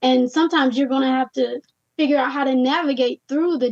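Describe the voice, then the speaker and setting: Recorded dry and close with no echo, a woman speaks fairly quickly at a high pitch with ordinary pitch variation. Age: 30s. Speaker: entrepreneur. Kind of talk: interview.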